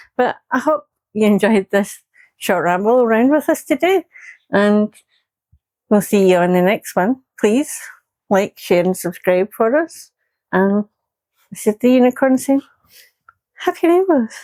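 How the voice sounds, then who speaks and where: A woman with a fairly high pitch and very wide pitch swings speaks at a fairly slow pace, with long, frequent pauses, in a dark, mellow tone and a dry, close sound with no echo. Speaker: vlogger. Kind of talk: casual chat. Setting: outdoors. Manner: loud.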